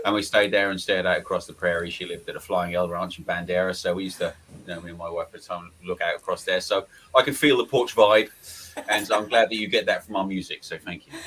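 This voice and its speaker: A man with an East Anglian accent talks very fast, his loudness swinging widely. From Lowestoft, Suffolk, East Anglia, England. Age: 40s. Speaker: blues harmonica player. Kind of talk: casual interview chat.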